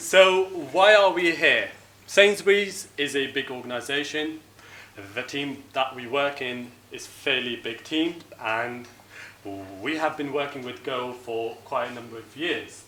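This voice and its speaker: A man talks with long, frequent pauses, ordinary pitch variation and big swings in loudness. Noticeable background noise and audible room echo fill the recording. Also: fairly high pitch for a man, fairly slow pace. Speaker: software engineer, conference speaker. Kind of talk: tech talk at a meetup.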